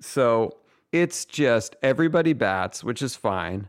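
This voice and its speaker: At a very slow pace, a man with a medium-pitched voice speaks with lively intonation. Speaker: comedy writer and podcast co-host. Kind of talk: casual chat.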